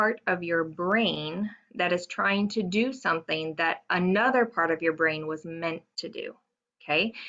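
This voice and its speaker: At a moderate pace, a woman talks in a medium pitch. Her pitch varies in an ordinary way. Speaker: teacher and dyslexia tutor. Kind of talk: lecture. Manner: animated.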